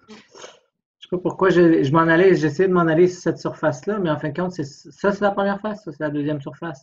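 A man talks at a very fast pace with a high pitch. His intonation is fairly even, but his loudness swings widely. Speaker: physics tutor. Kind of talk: tutorial. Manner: informal, hesitant thinking aloud.

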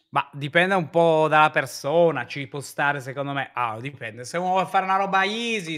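A man's fairly high voice with a bright, sharp tone, ordinary pitch variation and a fairly quick pace, hardly any pauses, against a quiet background. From Turin, northern Italy; northern Italy. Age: 30s. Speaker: streamer. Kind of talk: casual chat. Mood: relaxed, playful. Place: home room. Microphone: video call.

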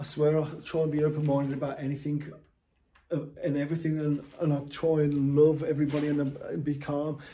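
A man's fairly high, somewhat breathy voice, dark and mellow in tone, monotone and flat at a fairly quick pace. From England. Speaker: vlogger. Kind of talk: monologue rant. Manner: halting. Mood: frustrated, emotional. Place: home room. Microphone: phone near.

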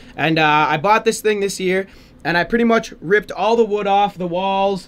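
Ordinary pitch movement from a man speaking at a moderate pace

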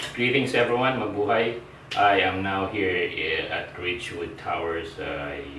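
A man with a fairly low voice talks at a fairly slow pace. The recording has noticeable background noise and audible room echo. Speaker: travel vlogger. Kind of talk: casual vlog chat. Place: home room.

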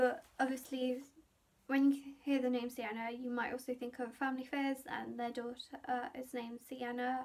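A woman with a British accent, high in pitch, with monotone, flat intonation. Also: moderate pace. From UK. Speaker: beauty and lifestyle vlogger; lifestyle vlogger. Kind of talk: casual vlog monologue. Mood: cheerful, chatty. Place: home room. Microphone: phone near.

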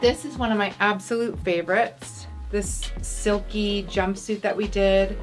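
Clear music plays behind a woman who speaks at a fairly slow pace with ordinary pitch variation. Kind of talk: casual closet tour chat. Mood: relaxed, nostalgic. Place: home room.

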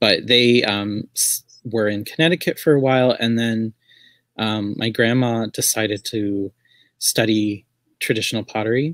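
A man with a medium-pitched voice talks at a moderate pace with ordinary pitch variation and long, frequent pauses, the sound dry with no echo against a quiet background. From US Southwest. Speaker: artist and writer. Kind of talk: casual chat. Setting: video call. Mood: relaxed, reflective.

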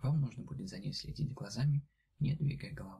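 Against a quiet background, a man with vocal fry and a dark, mellow tone talks at a moderate pace. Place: home room.

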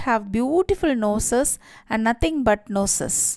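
A woman with a fairly high pitch, an animated tone and ordinary pitch variation, at a fairly slow pace, on a very clean recording with a silent background. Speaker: storyteller. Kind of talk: bedtime story narration, read aloud with a gentle storybook lilt. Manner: animated, shifting tone for each character's dialogue; expressive and child-friendly, with a clear moral at the end.

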